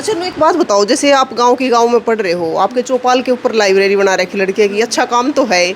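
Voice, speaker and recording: In a Haryanvi accent, a woman speaks at a high pitch with an animated tone and lively intonation. She leaves hardly any pauses, over noticeable background noise. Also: moderate pace. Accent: Haryanvi Hindi. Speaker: village video reporter. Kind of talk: walking tour with interviews. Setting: village meeting hall library. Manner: conversational, animated.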